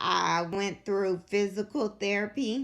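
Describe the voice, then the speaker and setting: A woman speaks at a very slow pace. Her voice is quiet. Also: very clean recording, silent background. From Kentucky, Louisville. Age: 20s. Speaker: vlogger sharing illness story. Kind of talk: personal testimony. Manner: quiet, struggles to project.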